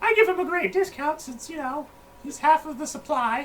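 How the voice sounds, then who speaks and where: A female-sounding, put-on character voice, squeaky and high-pitched for a woman, speaks at a moderate pace over clear background noise. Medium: actual play. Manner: folksy, rambling.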